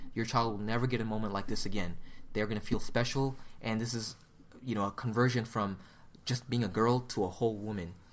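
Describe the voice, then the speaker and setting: Here a man talks in an American accent at a medium pitch. His pace is fairly quick. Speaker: podcast host and photo booth company rep. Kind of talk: casual conference recap chat. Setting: at a conference in Las Vegas. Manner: animated, upbeat.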